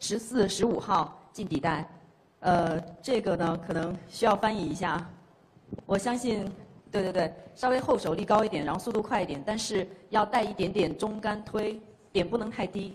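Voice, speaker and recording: Her pitch varying in an ordinary way, a woman keeps a moderate pace. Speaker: billiards player demonstrating a shot. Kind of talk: explanation to audience. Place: hall. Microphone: handheld.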